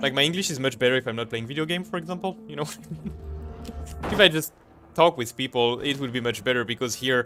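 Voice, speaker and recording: Over music in the background, a man talks at a very fast pace and medium pitch, with long, frequent pauses. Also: lively intonation. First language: French. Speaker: gaming streamer. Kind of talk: live gameplay stream chat. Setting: live stream while gaming. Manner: halting, stumbles on words.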